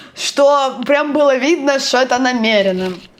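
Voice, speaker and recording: A woman with a Russian accent speaks at a fairly slow pace, her pitch high and her intonation lively. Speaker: book blogger. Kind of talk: book review vlog. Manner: halting.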